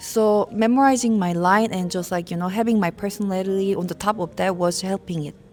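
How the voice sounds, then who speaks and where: A woman with a non-native accent, medium pitch, a fairly quick pace and hardly any pauses. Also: fairly even intonation. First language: not English. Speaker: streamer and nurse, game actress. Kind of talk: interview.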